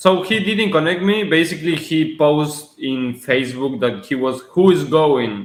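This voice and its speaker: Against audible room echo, a man with a fairly high pitch speaks at a moderate pace, with lively intonation and hardly any pauses. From Argentina. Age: 20s. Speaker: real estate investor. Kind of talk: podcast interview.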